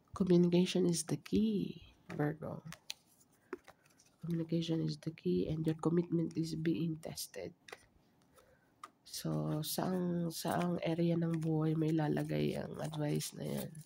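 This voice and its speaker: Soft-spoken, a man talks at a very slow pace. Long pauses come often. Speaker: tarot reader. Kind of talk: tarot reading.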